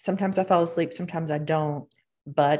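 A woman talks at a very fast pace with vocal fry and fairly even intonation against a quiet background. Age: 50s. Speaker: life coach, podcast co-host. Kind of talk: casual chat.

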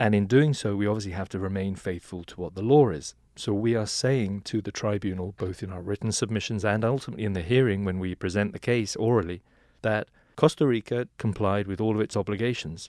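Speaking at a very fast pace with an English accent, a man with a fairly low voice uses ordinary pitch variation, recorded very cleanly against a silent background with a dry, close sound and no echo. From England. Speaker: law firm partner. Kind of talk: interview.

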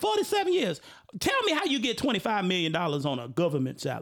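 In an animated tone, a man talks at a fairly quick pace. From Chicago. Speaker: podcast host. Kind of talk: casual chat. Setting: studio.

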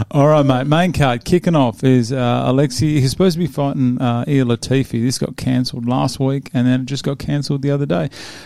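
A man with an Australian accent, very fast and with hardly any pauses, dark and mellow in tone, on a very clean recording with a silent background. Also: medium pitch for a man, ordinary pitch variation. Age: 40s. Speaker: podcast host discussing MMA fights. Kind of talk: casual chat. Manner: animated.

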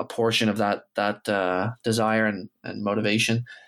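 This man has an ordinary speaking voice, pitched fairly low. He talks at a moderate pace with a Canadian accent. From Canada. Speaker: professional footballer. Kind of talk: interview.

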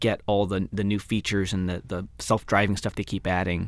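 A man's fairly low-pitched voice in a very clean recording with a silent background. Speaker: radio host. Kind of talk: casual chat. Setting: studio. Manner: fast talker.

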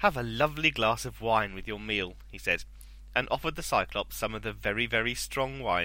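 Reading aloud, plainly done

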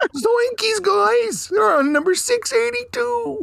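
A put-on character voice, high in pitch, very slow, with very wide pitch swings. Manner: goofy, cartoonish.

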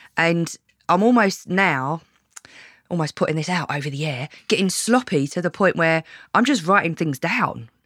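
A woman with a British accent talks at a moderate pace in a fairly low pitch. Her intonation is lively. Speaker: podcast host. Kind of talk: casual interview chat.

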